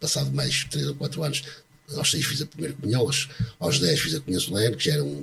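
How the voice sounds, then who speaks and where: The pace is fairly quick with fairly even intonation. There is noticeable background noise. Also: man. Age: 60s. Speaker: retired bank employee. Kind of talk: testimony. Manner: halting.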